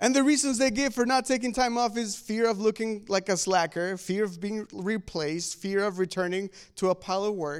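On a very clean recording with a silent background, a man with a non-native accent talks at a high pitch and a fairly quick pace, with ordinary pitch variation and hardly any pauses. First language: not English. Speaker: pastor. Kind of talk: sermon.

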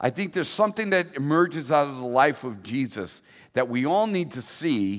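In a very clean recording with a silent background, a man speaks with a plain, everyday voice, lively intonation and a moderate pace. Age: 60s. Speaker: pastor. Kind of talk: sermon. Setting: church.

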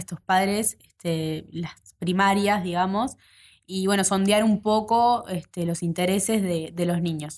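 This woman, in a Uruguayan accent, talks at a medium pitch with fairly even intonation. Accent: Rioplatense Spanish (Uruguayan). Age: 20s. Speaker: tech nonprofit co-director and startup founder. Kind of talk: interview conversation.

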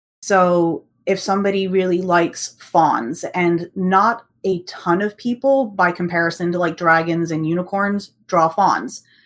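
A woman with an American accent speaks fairly slowly at a medium pitch with ordinary pitch variation and hardly any pauses, in a very clean recording with a silent background. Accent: American, with UK roots. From UK. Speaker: artist and world builder. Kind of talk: casual interview.

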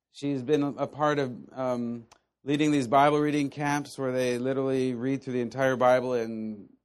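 This man talks at a moderate pace and medium pitch, his intonation monotone and flat. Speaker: Bible teacher. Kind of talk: teaching session with prayer.

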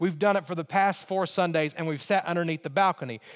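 A man with an Alabama accent and a high pitch, at a fairly quick pace, in a very clean recording over a silent background. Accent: Southern US (Alabama). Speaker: pastor. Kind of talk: sermon.

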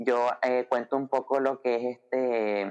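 A man talks with a Nicaraguan accent at a medium pitch. His intonation stays fairly even. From Nicaragua, Managua. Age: 20s. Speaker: church volunteer sharing personal story. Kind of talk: interview testimony.

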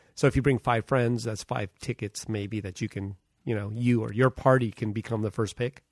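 At a moderate pace, a man with a plain, everyday voice speaks at a medium pitch with fairly even intonation. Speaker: podcast co-host. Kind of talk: casual chat.

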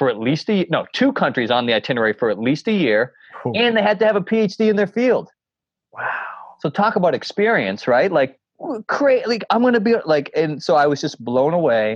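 A man's high voice with a Boston accent, fairly quick, with very wide pitch swings and very even loudness. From Boston area, Massachusetts (North Shore). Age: 40s. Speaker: coach and motivational speaker. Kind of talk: casual interview conversation. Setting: remote call from home. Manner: animated; fast.

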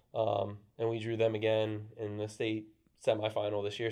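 Here is a man with a normal speaking voice and an American accent. His pitch is medium, and his pace is moderate. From Maryland, US (Brunswick, Frederick County). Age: 30s. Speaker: high school soccer coach. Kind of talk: casual interview.

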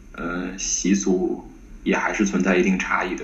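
The speaker is a man. His voice carries audible echo from the room. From Tianjin, northern China. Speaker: PhD student in Semitic linguistics. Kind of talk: academic interview. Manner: halting, many fillers.

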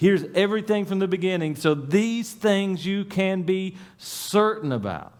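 A moderate pace with ordinary pitch variation and hardly any pauses. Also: man, high pitch for a man. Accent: Appalachian. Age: 40s. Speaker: pastor. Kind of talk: sermon. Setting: church.

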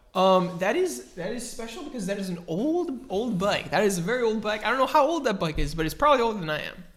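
Over noticeable background noise, a man talks at a very fast pace and high pitch with very wide pitch swings. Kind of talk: casual comedic banter. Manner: rambling, filler-heavy, jokey.

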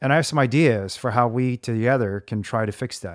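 Heard in a dry, close recording with no echo and a silent background, a man with an American accent has an unremarkable speaking voice, moving at a moderate pace with ordinary pitch variation. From US Midwest (central Indiana). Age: 40s. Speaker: podcast host.

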